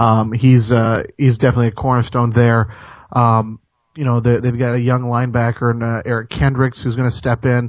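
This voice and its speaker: A man with an American accent, monotone and flat in intonation, at a fairly quick pace. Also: medium pitch for a man. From Minnesota, US. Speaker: sports radio host. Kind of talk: sports talk radio interview. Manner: halting, many repetitions and fillers.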